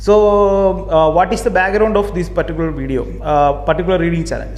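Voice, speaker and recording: Delivered in a Keralan accent at a fairly quick pace, the speech comes with noticeable background noise. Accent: Indian English, Malayali. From Kerala, southern India. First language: Malayalam. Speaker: book YouTuber. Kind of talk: casual video monologue. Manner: halting, many repetitions and fillers.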